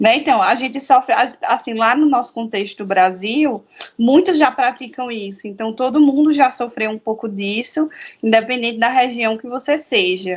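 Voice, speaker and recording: At a moderate pace, a woman speaks in a high pitch with ordinary pitch variation and big swings in loudness. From Brazil, Paraíba (Campina Grande). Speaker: psychotherapist. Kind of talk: casual chat.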